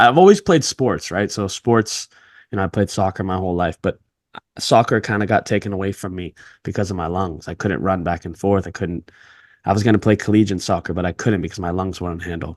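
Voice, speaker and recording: Over a quiet background, an unremarkable speaking voice moves at a fairly quick pace with a dry, close sound and no echo. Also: man. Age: 30s. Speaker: podcast host. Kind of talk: casual interview chat.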